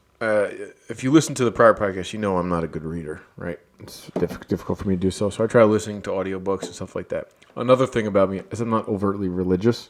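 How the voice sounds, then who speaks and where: Mumbling at a very fast pace, a man with a fairly low pitch uses ordinary pitch variation and big swings in loudness. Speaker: podcast co-host. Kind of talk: casual chat.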